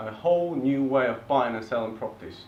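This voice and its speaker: Over noticeable background noise and audible room echo, a man with an Eastern European accent talks at a moderate pace. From eastern Bulgaria, Turkish family. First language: Turkish or Bulgarian. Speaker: property investor presenter. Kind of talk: seminar presentation.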